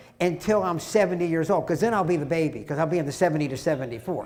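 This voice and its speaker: The speaker is a man. Noticeable background noise runs underneath. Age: 60s. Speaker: amateur triathlete. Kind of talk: talk to a men's group. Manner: casual storytelling.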